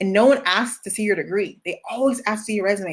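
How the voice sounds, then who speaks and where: Speaking very fast with an animated tone, a woman with an American accent uses a fairly high pitch and ordinary pitch variation. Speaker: career coach. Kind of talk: livestream Q&A.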